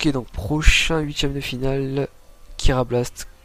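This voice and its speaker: A man's voice with noticeable background noise. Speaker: tournament caster. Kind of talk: live gaming commentary. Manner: casual.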